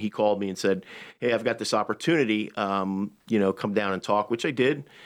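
A very fast man with an American accent, fairly low pitch and ordinary pitch variation, on a very clean recording with a silent background. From Long Island, New York. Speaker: chef and restaurant owner. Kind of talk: radio interview.

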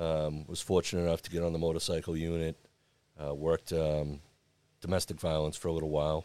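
On a very clean recording with a silent background, a man with an American accent speaks fairly quickly at a very deep, low pitch in a monotone, flat delivery. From Massachusetts, South Shore (Braintree). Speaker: police chief. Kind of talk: interview.

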